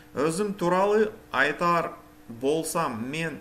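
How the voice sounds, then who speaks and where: Audible room echo surrounds a man speaking very slowly in a fairly high voice with ordinary pitch variation. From Kazakhstan, Almaty. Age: 40s. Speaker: language learner vlogger. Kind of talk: reading aloud a prepared bilingual text. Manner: halting, self-correcting.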